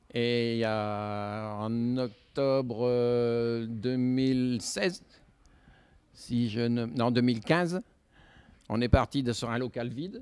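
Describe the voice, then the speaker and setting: A man speaks very slowly at a medium pitch. He leaves long, frequent pauses. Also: ordinary pitch variation. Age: 60s. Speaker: model railway hobbyist. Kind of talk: interview. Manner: halting, many hesitations.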